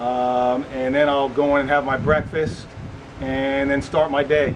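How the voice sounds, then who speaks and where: Over noticeable background noise, a man with an American accent speaks in a monotone, flat way at a moderate pace and a fairly high pitch. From South Florida, Miami Beach. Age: 50s. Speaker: retired police officer. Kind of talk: casual video tour, self-introduction. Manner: casual, conversational with fillers.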